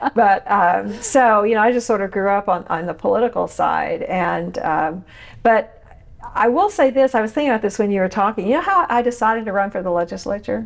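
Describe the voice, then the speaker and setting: With an Oklahoma accent, a woman talks at a fairly high pitch that shows ordinary pitch variation. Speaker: podcast host, former state legislator. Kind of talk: interview. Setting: podcast interview. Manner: animated.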